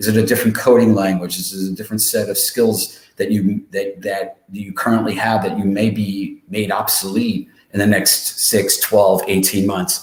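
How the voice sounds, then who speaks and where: A man with an ordinary speaking voice, fairly low in pitch, at a moderate pace with fairly even intonation and hardly any pauses. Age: 60s. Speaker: webinar presenter and career coach. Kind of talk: webinar presentation. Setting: livestream webinar. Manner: many filler words and restarts.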